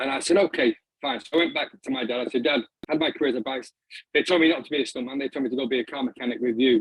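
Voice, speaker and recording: The speech comes in a northern English accent at a very fast pace. Intonation stays fairly even. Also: man, medium pitch for a man. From northern England, Doncaster. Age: 40s. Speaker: filmmaker and arts practitioner. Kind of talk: talk to an online audience. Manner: halting, many fillers and repeats.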